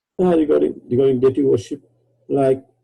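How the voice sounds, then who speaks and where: Here a man's somewhat breathy voice has a dark, mellow tone. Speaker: devotee asking a question. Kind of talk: question from audience. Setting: video call. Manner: halting.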